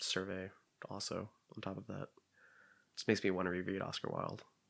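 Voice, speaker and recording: A man talks with an American accent. His very deep, low pitch carries vocal fry. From Pennsylvania, rural. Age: 30s. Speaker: creative writer and former English teacher. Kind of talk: casual chat. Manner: halting.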